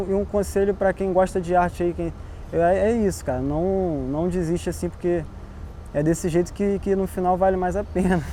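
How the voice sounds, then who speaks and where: Over noticeable background noise, a man talks at a moderate pace. His pitch is high and his intonation fairly even. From Brazil, Baixada Fluminense (Nova Iguaçu, Rio de Janeiro state). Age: 20s. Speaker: visual artist. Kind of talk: interview. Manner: casual, slangy.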